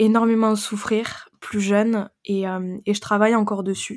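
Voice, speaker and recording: Pitched at a medium level, a woman delivers her words with monotone, flat intonation. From French Pyrenees. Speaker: women's empowerment coach. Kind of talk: interview.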